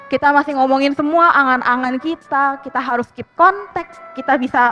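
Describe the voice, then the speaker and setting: Music plays in the background as a woman speaks. Her pace is fairly quick and her intonation fairly even. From Jakarta. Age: 20s. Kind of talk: personal storytelling to live audience. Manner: casual, conversational.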